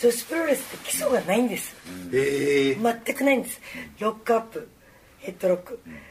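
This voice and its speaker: The voice swings very widely in pitch at a fairly quick pace, with noticeable background noise behind it. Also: woman, fairly high pitch for a woman. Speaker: professional wrestler. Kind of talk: casual chat.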